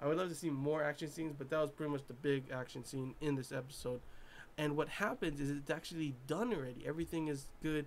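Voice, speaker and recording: A man mumbles at a very fast pace in a fairly high voice. His pitch varies in an ordinary way. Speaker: anime reviewer. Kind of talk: casual review monologue. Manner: mumbling; animated.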